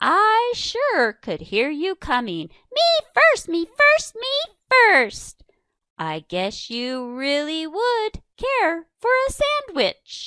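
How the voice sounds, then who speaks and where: In a put-on character voice, a woman squeaks at an extremely high pitch and a very slow pace. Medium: read story. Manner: bossy, demanding.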